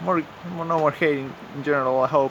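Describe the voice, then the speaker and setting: Noticeable background noise accompanies a man speaking with a non-native accent. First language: not English. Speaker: YouTuber commentator. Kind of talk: improvised commentary. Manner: halting, many fillers; casual, animated.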